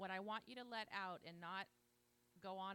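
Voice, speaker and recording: A woman speaks loudly at a fairly quick pace, her pitch fairly low and her tone bright and sharp. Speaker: conference organizer. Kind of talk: event introduction. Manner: animated.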